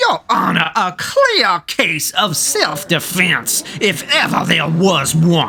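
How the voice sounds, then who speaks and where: A cartoonish character voice at a middle pitch moves at a very slow pace with hardly any pauses, over clear background noise. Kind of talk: courtroom speech. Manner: excitable, over-eager.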